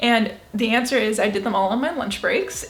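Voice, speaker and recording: With music in the background, a high-pitched woman speaks at a moderate pace with lively intonation. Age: 20s. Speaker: lifestyle vlogger. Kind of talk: casual talk to camera.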